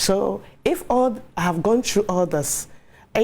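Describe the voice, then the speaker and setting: A woman with a Ghanaian accent talks at a medium pitch and moderate pace. Her tone is dark and mellow, her intonation lively. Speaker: HIV awareness advocate. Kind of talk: TV interview testimony.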